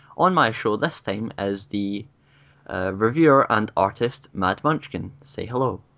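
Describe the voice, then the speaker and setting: The speaker has a Scottish accent and lively intonation. The pace is fairly slow, over a quiet background. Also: man, fairly low pitch for a man. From Scotland. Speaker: YouTube interview host. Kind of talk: casual interview. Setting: video call.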